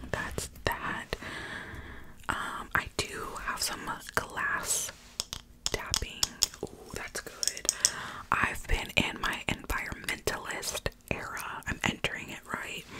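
A woman is whispering. She goes at a very slow pace. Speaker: ASMR creator. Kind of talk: casual soft-spoken ASMR chat. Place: home room. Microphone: studio mic.

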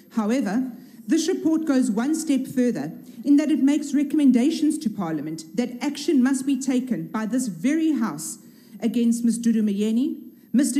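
Against a quiet background, a woman with a high pitch and a dark, mellow tone speaks at a moderate pace with lively intonation. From South Africa. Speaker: politician, member of parliament. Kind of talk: parliamentary speech. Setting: parliament chamber. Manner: formal. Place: hall. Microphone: podium.

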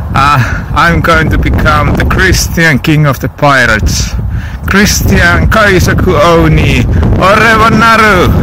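A man at a fairly slow pace, dry sound with no echo, noticeable background noise. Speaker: vlogger. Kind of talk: casual vlog chat. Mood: playful, rambling. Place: beach. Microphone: phone near.

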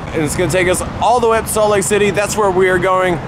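A man talks at a high pitch with ordinary pitch variation. The sound is dry with no echo, with noticeable background noise. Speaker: vlogger. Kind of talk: casual vlog chat. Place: street. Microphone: phone near.

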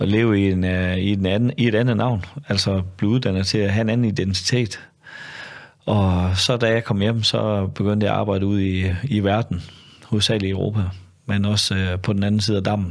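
Against a quiet background, a man speaks at a moderate pace. His loudness stays very even and his intonation is monotone and flat. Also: fairly low pitch for a man. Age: 50s. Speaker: former undercover police officer. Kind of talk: casual interview conversation. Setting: studio. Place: studio. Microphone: studio mic.

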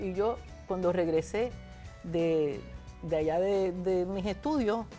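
Faint music plays in the background as a woman speaks at a very slow pace. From Puerto Rico. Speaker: former senator and professor. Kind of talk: interview answer. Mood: reflective, animated storytelling. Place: studio. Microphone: lapel.

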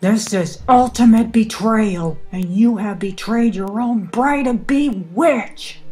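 In a put-on character voice with a fairly high pitch, a female-sounding voice bellows at a fairly slow pace with hardly any pauses while music plays in the background. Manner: roaring with rage and fury.

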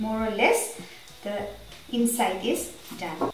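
A woman's voice comes with audible room echo and faint music in the background. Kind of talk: tutorial. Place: kitchen.

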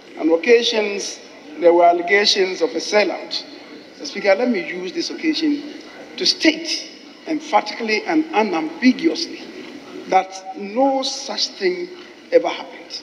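The speaker moves at a fairly slow pace with long, frequent pauses, over light background noise. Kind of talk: formal floor speech. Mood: calm, conciliatory. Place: hall. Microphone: podium.

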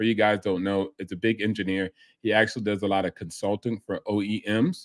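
In a quiet setting, a man speaks at a moderate pace. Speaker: reaction channel host. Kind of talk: commentary.

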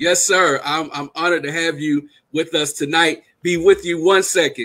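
With an American accent, a man speaks at a moderate pace in a high pitch with a bright, sharp tone. His intonation stays fairly even over a quiet background. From South Carolina. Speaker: panel host. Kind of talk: panel discussion. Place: home room.

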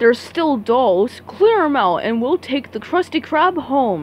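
Using a put-on character voice, a woman speaks at a high pitch with big pitch swings. Her pace is slow.

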